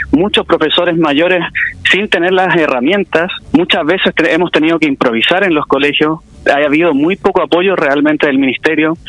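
Speaking at a moderate pace with very even loudness, a man uses a fairly high pitch and ordinary pitch variation against noticeable background noise. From Chile, Quilpué. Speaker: history teacher and local political candidate. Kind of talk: radio interview. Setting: phone call.

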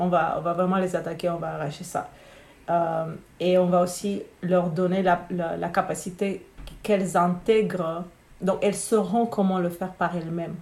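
In audible room echo, a somewhat breathy woman with a fairly low pitch speaks at a moderate pace with monotone, flat intonation. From Romania. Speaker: spiritual business coach. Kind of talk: casual interview.

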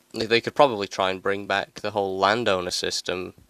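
A man with a British accent speaks in a fairly low pitch, his intonation flat and monotone. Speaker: solo podcaster. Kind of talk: angry political rant about hunger and poverty. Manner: indignant, repeating lines with mounting outrage; rhetorical, sarcastic jabs.

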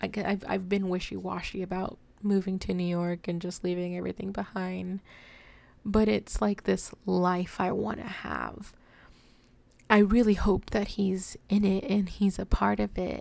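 Monotone and flat, a woman with an American accent speaks at a medium pitch. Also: moderate pace. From Texas. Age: 20s. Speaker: podcaster. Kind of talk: casual monologue.

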